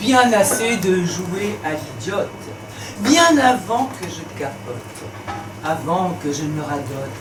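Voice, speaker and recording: Against music in the background, a woman with a medium pitch speaks with very wide pitch swings and long, frequent pauses. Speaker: slam poet. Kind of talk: slam poetry performance. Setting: live bar venue.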